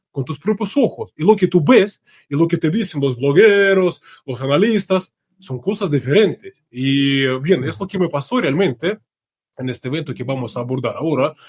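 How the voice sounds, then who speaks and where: His pitch high, a man talks with lively intonation. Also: dry, close sound with no echo. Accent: Russian. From Russia. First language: Russian (speaking Spanish). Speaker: journalist. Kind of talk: interview.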